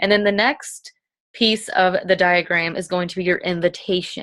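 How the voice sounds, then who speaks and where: Medium-pitched female voice, captured on a very clean recording with a silent background. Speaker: fitness coach leading a sales team. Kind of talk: team training talk recorded at home. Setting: bedroom, self-recorded video. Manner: fast.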